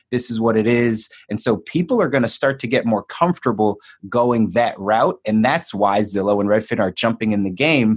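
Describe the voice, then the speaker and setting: In an American accent, a man with an ordinary speaking voice and a medium pitch talks at a moderate pace. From Philadelphia. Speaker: podcast host. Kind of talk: podcast interview.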